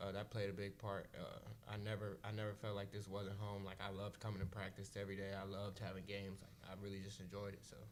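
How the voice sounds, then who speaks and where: Barely pausing, a man with a fairly low pitch rattles along at a very fast pace in a monotone, flat intonation, with audible room echo. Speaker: college basketball player. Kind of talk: press conference.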